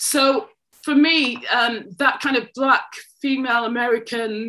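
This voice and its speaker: A woman's raised, projected voice carries a bright, sharp tone. She speaks at a fairly slow pace with ordinary pitch variation. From Manchester, England. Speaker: poet and writing tutor. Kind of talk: interview.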